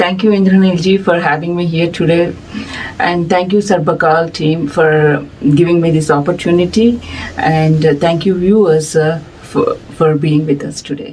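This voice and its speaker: A woman with a Telugu accent speaks at a moderate pace in a fairly low pitch, with ordinary pitch variation and noticeable background noise. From India. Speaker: music society director. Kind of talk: interview. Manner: hesitant, many fillers.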